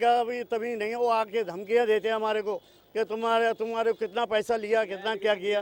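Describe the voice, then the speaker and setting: The recording is very clean, with a silent background and a dry, close sound with no echo. A man speaks at a high pitch with monotone, flat intonation. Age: 60s. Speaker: local resident. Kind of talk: street interview.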